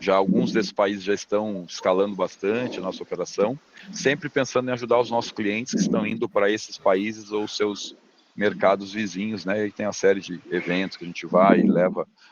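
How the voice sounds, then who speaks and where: Noticeable background noise surrounds a man speaking at a fairly quick pace. His pitch is fairly low and his intonation fairly even. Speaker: business consultant lecturer. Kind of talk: lecture over video call. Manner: fast.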